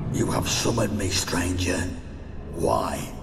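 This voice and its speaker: A man does a put-on character voice at a fairly slow pace, amid loud background noise and a clear echo. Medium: machinima. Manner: menacing, formal.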